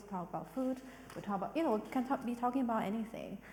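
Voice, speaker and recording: A woman with a non-native accent and lively intonation, speaking at a very fast pace against noticeable background noise. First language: not English. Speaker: arts director hosting a panel talk. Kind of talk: panel discussion. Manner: halting, many fillers.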